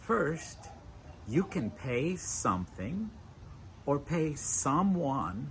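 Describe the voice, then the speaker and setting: With vocal fry and a fairly high pitch, a man talks at a very slow pace, his pitch swinging very widely. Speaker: English teacher. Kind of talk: educational lesson to camera. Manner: slow, clear.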